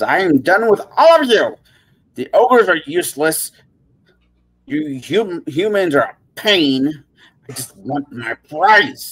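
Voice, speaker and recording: Speaking in a put-on character voice at a middle pitch and fairly slow pace, the speaker cackles between long, frequent pauses. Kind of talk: tabletop game narration. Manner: cackling, irritated.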